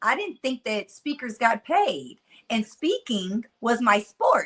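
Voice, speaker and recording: Fairly high pitch and very wide pitch swings from a woman with a Mississippi accent, animated in tone, at a fairly slow pace. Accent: Mississippi country twang. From US South, Nashville, Tennessee. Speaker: motivational speaker. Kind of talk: interview conversation. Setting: podcast.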